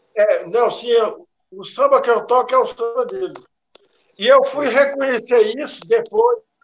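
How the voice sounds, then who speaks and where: A man speaks in an extremely high pitch at a fairly slow pace, with very wide pitch swings. His loudness swings widely, and he takes long, frequent pauses. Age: 50s. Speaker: drummer. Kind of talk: casual chat. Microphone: choppy internet connection.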